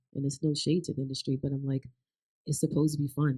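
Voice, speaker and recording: A woman with an American accent speaks at a very deep, low pitch, in a dark, mellow tone that is somewhat breathy. The sound is dry and close, with no echo. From Maryland. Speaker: country singer. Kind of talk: live interview. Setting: stage with audience. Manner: animated.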